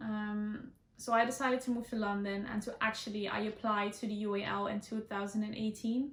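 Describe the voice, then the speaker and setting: A woman with a Dutch accent talks at a fairly quick pace with hardly any pauses. Her fairly high voice stays flat and monotone. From Netherlands. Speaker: student and beauty vlogger. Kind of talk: casual Q&A vlog. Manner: hesitant, many ums.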